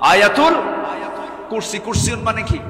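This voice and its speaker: Noticeable background noise sits behind this man. His high-pitched voice is raised and projected. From Dhaka, Bangladesh. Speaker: Islamic preacher giving waz at a Quran commentary gathering. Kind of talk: waz sermon to a large live crowd with call-and-response. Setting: large outdoor rally ground with PA system. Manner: loud, rhetorical, crowd-engaging.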